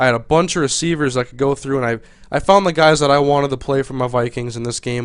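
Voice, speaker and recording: A man speaks at a fairly high pitch with ordinary pitch variation against a quiet background. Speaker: gaming video commentator. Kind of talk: gameplay commentary. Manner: fast.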